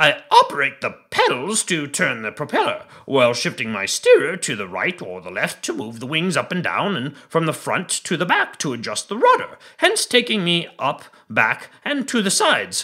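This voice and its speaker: A man puts on a character voice pitched high. He keeps a moderate pace with hardly any pauses. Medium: read story. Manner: excitable, courteous, long-winded.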